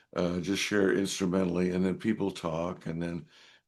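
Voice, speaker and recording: The speaker has an American accent, fairly even intonation, and a moderate pace. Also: man, quiet background. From US Pacific Northwest, Seattle. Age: 70s. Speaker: trumpet player and music missionary. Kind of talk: interview conversation. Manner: halting, many fillers and restarts.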